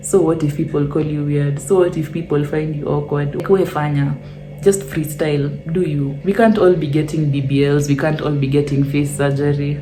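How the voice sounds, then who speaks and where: A woman's very deep, low voice at a moderate pace, with audible room echo and noticeable background noise. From Kenya. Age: 20s. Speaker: YouTuber. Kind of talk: casual Q&A vlog. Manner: animated.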